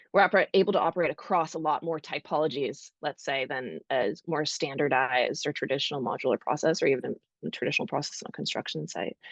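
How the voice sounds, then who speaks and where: In a North American accent, a woman with a very deep, low voice talks very fast in a dry, close sound with no echo. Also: ordinary pitch variation, quiet background. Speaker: architecture robotics founder. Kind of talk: panel discussion.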